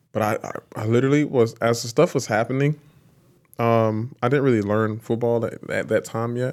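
A man with a South Carolina accent speaks with fairly even intonation on a very clean recording with a silent background. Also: medium pitch for a man, moderate pace. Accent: Southern US (South Carolina). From US South, South Carolina (Lancaster). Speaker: professional football player. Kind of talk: interview. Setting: on location at a stadium venue.

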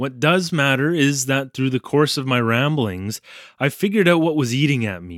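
The clip is read aloud in a natural voice.

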